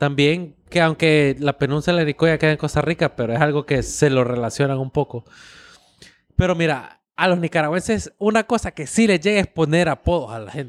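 A normal speaking voice at a moderate pace with ordinary pitch variation, dry and close with no echo, on a very clean recording with a silent background. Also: man, fairly high pitch for a man. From United States, Nicaraguan family. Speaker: podcast co-host. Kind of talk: casual chat.

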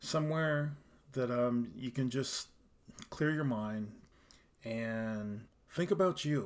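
The man's pitch sits in the medium range and varies in an ordinary way. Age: 40s. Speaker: podcast host. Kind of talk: personal monologue. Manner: halting.

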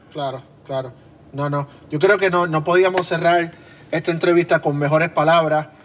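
With a Puerto Rican accent, a man talks at a moderate pace and a fairly high pitch, keeping fairly even intonation and taking long, frequent pauses. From Puerto Rico. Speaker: podcast host and drummer. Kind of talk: interview.

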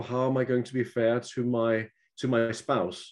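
A man with a Danish accent speaks in a dark, mellow tone. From Denmark. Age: 50s. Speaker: author. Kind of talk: casual chat.

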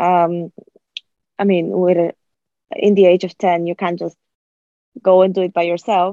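With a fairly low pitch, a woman speaks in a monotone, flat intonation, pausing long and frequently. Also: moderate pace. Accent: Bulgarian. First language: Bulgarian. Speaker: podcast host. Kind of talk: casual interview. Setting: remote call. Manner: hesitant, many fillers.

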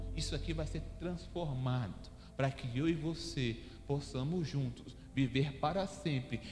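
With lively intonation and a fairly high pitch, a man speaks amid audible room echo. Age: 30s. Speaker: pastor. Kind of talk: sermon.

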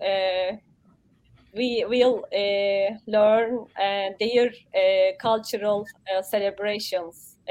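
In a Turkish accent, a woman talks at medium pitch with monotone, flat intonation. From Turkey. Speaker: human rights commission member. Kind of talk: casual interview. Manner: halting, hesitant.

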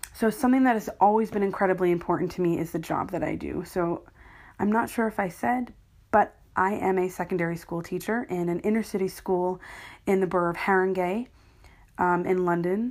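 Heard on a very clean recording with a silent background, a woman with an American accent uses a normal speaking voice at a medium pitch, talking at a fairly quick pace with ordinary pitch variation. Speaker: podcaster. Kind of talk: casual solo podcast monologue. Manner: casual, self-deprecating, chatty.

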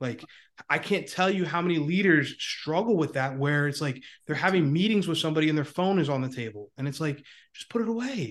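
A man with an American accent uses a plain, everyday voice, fairly high in pitch. He talks at a fairly quick pace with lively intonation. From Northeast Pennsylvania. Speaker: leadership coach. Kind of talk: interview.

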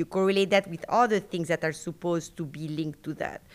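Speaking at a fairly quick pace, a woman has a French accent. The recording is very clean, with a silent background. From Argentina and France. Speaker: university professor. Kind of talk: interview, casual conversational. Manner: halting, many fillers and restarts.

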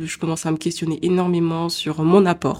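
A fairly low-pitched woman's voice, dark and mellow, monotone and flat, at a fairly slow pace on a very clean recording with a silent background. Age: 20s. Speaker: podcaster. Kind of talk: personal monologue. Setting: home recording at computer. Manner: spontaneous, hesitant.

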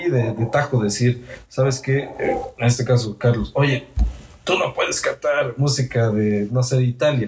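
A man's medium-pitched voice at a fairly slow pace, with fairly even intonation, very even loudness, and noticeable background noise. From Mexico, Cholula. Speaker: andean folk musician. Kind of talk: casual interview chat.

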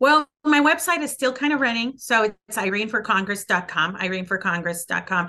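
A woman's fairly high, bright and sharp voice at a moderate pace, with very wide pitch swings and hardly any pauses. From El Paso, Texas. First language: Spanish. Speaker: congressional candidate. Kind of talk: interview answers, political talk.

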